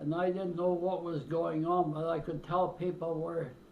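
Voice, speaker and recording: The man's voice is fairly high and flat in a monotone. Audible echo fills the room. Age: 90s. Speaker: elderly interviewee recounting his life. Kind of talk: oral history interview. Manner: halting, with hesitations.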